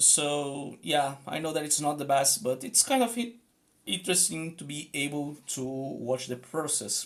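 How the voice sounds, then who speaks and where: Fairly slow delivery in a Portuguese accent. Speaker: streamer and rune practitioner. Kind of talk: live stream casual talk while drawing. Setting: live stream. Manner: hesitant, many fillers.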